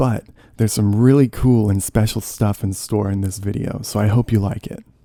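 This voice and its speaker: Soft-spoken and relaxed, a man talks in a fairly low pitch with a dark, mellow tone. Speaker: ASMR YouTuber, audio creator. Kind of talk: casual talk to camera, commentary about his channel. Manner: soft-spoken, relaxed.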